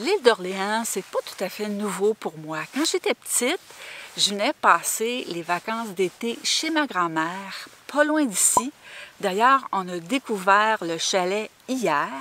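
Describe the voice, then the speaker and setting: Here a woman talks at a very slow pace with lively intonation. The sound is dry, with no echo. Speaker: travel vlogger. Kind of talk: casual vlog chat. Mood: warm, nostalgic.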